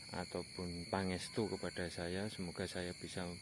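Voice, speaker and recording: Quiet and fairly slow, a man speaks with a very deep, low pitch and monotone, flat intonation. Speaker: paranormal explorer vlogger. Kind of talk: vlog narration. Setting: outdoors at night near houses. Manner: quiet, lowered voice.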